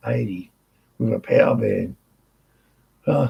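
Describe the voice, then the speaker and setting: A man speaks with an Australian accent. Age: 60s. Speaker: workshop owner and motorbike rider. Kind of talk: casual chat.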